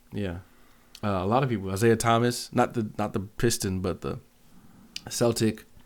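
Long, frequent pauses break up a man's speech, which has a fairly low pitch, a moderate pace and fairly even intonation. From US, Seattle. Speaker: music producer. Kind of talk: casual chat.

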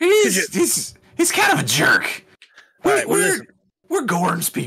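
A man puts on a character voice, pitched extremely high and delivered very slowly. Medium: actual play. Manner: blunt.

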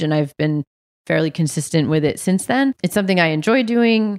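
A woman speaks with an American accent. The recording is very clean, with a silent background and a dry, close sound with no echo. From New England (Massachusetts, New Hampshire). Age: 30s. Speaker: writer and teacher. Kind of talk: casual interview about grief.

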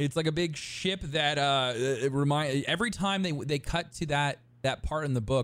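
Here is an unremarkable speaking voice, a man's, at a fairly high pitch. He moves at a moderate pace with ordinary pitch variation. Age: 30s. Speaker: podcast co-host. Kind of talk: casual chat. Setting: live stream with chat.

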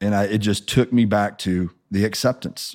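In an American accent, a man with an ordinary speaking voice and fairly low pitch talks at a moderate pace with ordinary pitch variation. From Missouri, US Midwest. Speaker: pastor. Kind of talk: testimony.

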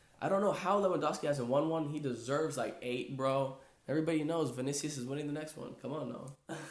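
A fairly high-pitched man talks very fast amid audible room echo and noticeable background noise. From Brazil. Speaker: podcast co-host. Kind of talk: casual chat. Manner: animated.

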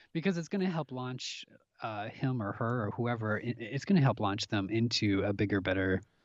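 A man with an American accent talks at a fairly quick pace in a plain, everyday voice, fairly low in pitch with ordinary pitch variation. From US Midwest, Minnesota (Minneapolis). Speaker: actor. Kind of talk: casual chat.

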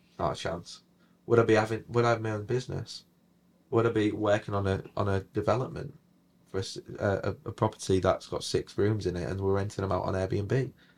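Fairly quick and somewhat breathy, this man's fairly low voice carries fairly even intonation on a very clean recording with a silent background. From northern England, Hull. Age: 20s. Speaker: property investor. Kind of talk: interview.

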